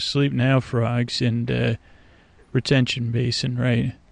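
A man's medium-pitched, monotone, flat delivery at a fairly slow pace. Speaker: podcast host, bedtime storyteller. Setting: outdoors at night near a swamp. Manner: rambling, meandering.

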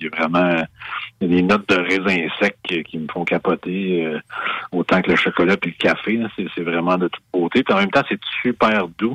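A man with a very deep, low pitch and a bright, sharp tone speaks at a moderate pace. His intonation is fairly even, and the sound is dry and close, with no echo. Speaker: beer expert and author. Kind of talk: interview. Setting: radio studio.

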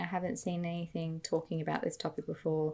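A somewhat breathy woman talks at a very fast pace with an Australian accent. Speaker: podcast co-host. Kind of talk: casual chat.

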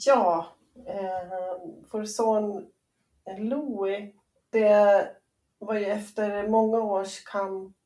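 A woman speaks in a dark, mellow tone. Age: 40s. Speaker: entrepreneur and bereaved mother. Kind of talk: personal testimony interview. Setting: remote call. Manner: halting, hesitant.

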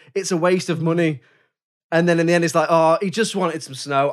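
Speaking very fast, a man with an English accent uses a high voice. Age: 30s. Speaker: podcast host. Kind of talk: casual chat.

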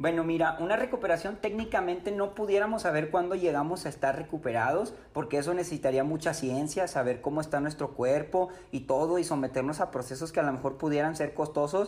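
Fairly quick and with hardly any pauses, a man speaks with a northern Mexican accent at a fairly high pitch with ordinary pitch variation. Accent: northern Mexican (regio). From Mexico, Nuevo León (Apodaca, Monterrey area). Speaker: triathlon coach and ultra-endurance athlete. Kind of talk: interview.

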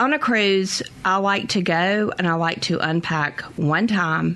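A woman talks at a very slow pace with a Southern US accent. Her pitch variation is ordinary, and background noise is noticeable. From US South. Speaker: travel consultant. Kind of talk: radio interview.

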